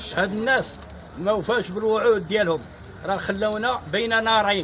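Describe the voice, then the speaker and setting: Noticeable background noise and audible room echo surround a man whose high pitch holds fairly even intonation. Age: 60s. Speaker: market resident complaining. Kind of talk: street interview testimony.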